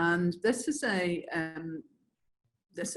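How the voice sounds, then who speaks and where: A woman with an Irish accent speaks at medium pitch with lively intonation. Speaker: infection prevention presenter. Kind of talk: webinar presentation. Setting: online webinar.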